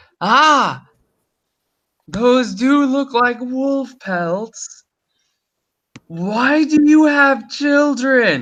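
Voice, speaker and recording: In a put-on character voice at an extremely high pitch, a man speaks very slowly with long, frequent pauses. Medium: actual play. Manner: suspicious, questioning.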